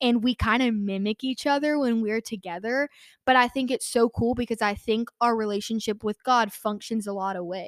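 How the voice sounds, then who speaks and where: In a very clean recording with a silent background and a dry, close sound with no echo, a woman with an American accent speaks at a moderate pace in a fairly high pitch with fairly even intonation. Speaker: podcast host, college student. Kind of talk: casual devotional talk.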